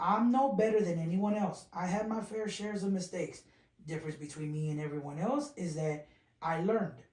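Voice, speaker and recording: A high-pitched man with an American accent, lively intonation and a fairly quick pace. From South Texas (small town near San Antonio). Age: young. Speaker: radio DJ and social media influencer. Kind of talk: casual interview chat.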